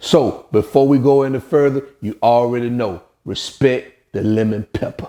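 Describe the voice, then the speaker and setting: Speaking with an American accent, a man has a dark, mellow, medium-pitched voice with ordinary pitch variation. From Alabama, US South. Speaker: cooking channel host. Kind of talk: cooking tutorial. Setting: home kitchen. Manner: casual, uses fillers.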